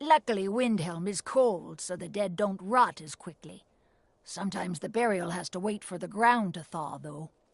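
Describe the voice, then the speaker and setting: A woman puts on a raspy character voice at a medium pitch. She speaks at a moderate pace. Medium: video game. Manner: calm, matter-of-fact.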